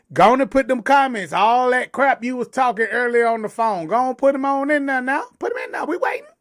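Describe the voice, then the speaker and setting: This man talks loudly at a fairly quick pace with hardly any pauses, his pitch extremely high, his tone animated and his pitch variation ordinary. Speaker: livestream talk show co-host. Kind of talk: casual chat.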